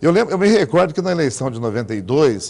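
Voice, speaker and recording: With very wide pitch swings, a man delivers his words at a fairly quick pace. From Brazil, Franca (São Paulo state interior). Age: 50s. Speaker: city councillor, former radio presenter. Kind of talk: TV interview.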